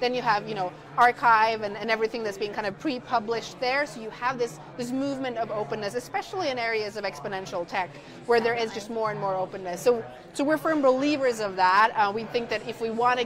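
Noticeable background noise surrounds a woman who speaks at a very fast pace. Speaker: AI startup founder. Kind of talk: live event interview. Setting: live stream from conference floor. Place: hall. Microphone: lapel.

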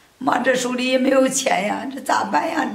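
A woman's high-pitched voice with audible room echo. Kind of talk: scripted drama dialogue. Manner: weak, pained, fretful voice from bed.

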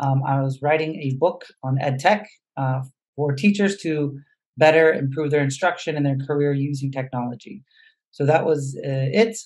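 A man's somewhat breathy voice at a fairly high pitch, with ordinary pitch variation and a moderate pace, over a quiet background. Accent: American. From US West Coast, San Diego, California; California. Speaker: educator, nonprofit founder; educator. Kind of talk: webinar presentation. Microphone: video call.

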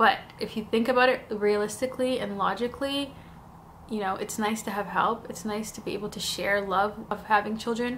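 Light background noise sits behind a woman's fairly high voice. She keeps a moderate pace and fairly even intonation. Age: 30s. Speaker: YouTuber. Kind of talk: casual vlog talk to camera. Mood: personal, emotional storytelling. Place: home room.

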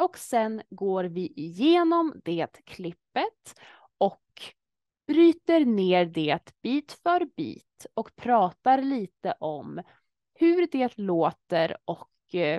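With a dark, mellow tone and a fairly high pitch that swings very widely, a woman speaks in a dry sound with no echo against a quiet background. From Sweden. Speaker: language learning YouTuber. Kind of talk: casual talk to camera. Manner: slow, clear. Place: home room. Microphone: webcam.

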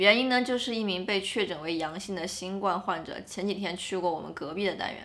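This woman talks at a fairly quick pace. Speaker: vlogger. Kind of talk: casual vlog chat. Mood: calm, slightly serious. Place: home room.

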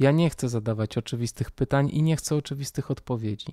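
A man speaks fairly quickly at a medium pitch in a dark, mellow tone with ordinary pitch variation. The recording is very clean with a silent background and a dry, close sound with no echo. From Poland, Warsaw. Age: 40s. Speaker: podcast host. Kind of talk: personal monologue.

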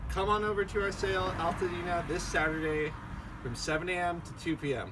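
High-pitched for a man, his voice keeps fairly even intonation. Noticeable background noise is present. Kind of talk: promotional announcement. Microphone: camera far.

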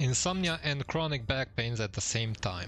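A man speaks at a fairly slow pace with a Romanian accent, his voice somewhat breathy. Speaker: gaming streamer. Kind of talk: casual chat. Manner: halting.

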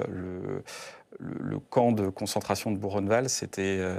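The delivery is very slow, with fairly even intonation. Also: man. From Brittany, France. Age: 30s. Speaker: senator. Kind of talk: political interview. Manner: hesitant, many filler sounds. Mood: earnest, measured. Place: studio. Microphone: lapel.

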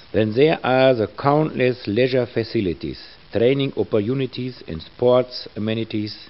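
The speaker talks with a German accent at a moderate pace. The intonation is lively. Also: man. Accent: German (Dortmund) accent in English. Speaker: mayor. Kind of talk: official welcome address.

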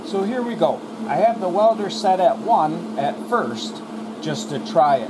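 A man talks at a high pitch with lively intonation. Audible room echo and clear background noise surround him. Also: fairly slow pace.

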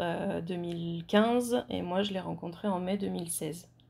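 A woman at a very slow pace. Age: 30s. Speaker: horse owner. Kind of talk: interview.

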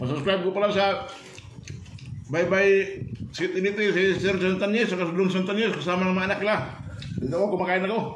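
Audible room echo and light background noise accompany a high-pitched man talking fairly quickly with fairly even intonation. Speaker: food vlogger. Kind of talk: casual vlog chat. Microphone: phone near.

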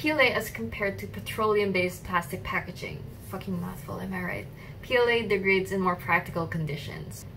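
Over music in the background, a woman speaks at a moderate pace with very wide pitch swings. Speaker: student intern vlogger. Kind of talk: casual vlog chat explaining science. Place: home room.

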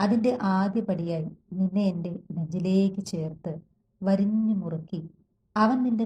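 Over a quiet background comes a natural reading voice with ordinary pitch variation.

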